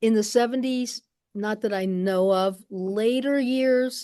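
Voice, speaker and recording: With an American accent, a woman speaks in a dark, mellow tone with ordinary pitch variation. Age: 70s. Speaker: archivist. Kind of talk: panel discussion. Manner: halting.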